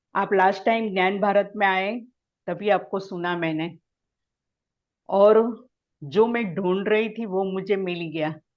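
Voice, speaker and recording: A woman with a Gujarati accent, medium pitch and fairly even intonation, with long, frequent pauses. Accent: Gujarati-accented Hindi. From Gujarat, India. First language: Gujarati (speaking Hindi). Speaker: meditation practitioner. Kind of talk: testimony. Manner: halting.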